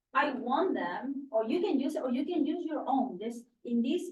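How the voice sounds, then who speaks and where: A woman speaks at a fairly slow pace with a Spanish accent. Her intonation is lively. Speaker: teacher trainer. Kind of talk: training session. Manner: halting, many fillers.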